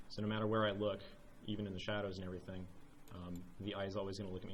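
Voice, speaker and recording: A man's fairly low voice at a very fast pace, with audible room echo. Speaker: volunteer speaker at game developer meetup. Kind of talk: technical show-and-tell presentation. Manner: casual with many filler words.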